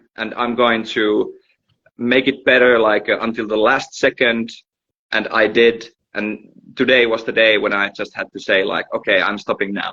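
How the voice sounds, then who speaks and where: A man with a Finnish accent, medium in pitch, at a fairly slow pace with fairly even intonation. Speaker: musician. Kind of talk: casual chat. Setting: livestream video call.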